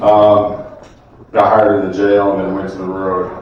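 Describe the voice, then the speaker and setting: Speech comes at a fairly slow pace in a flat monotone. Room echo is audible, and background noise is noticeable. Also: man. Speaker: school resource officer. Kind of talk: public speech to community audience. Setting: community event stage with microphone.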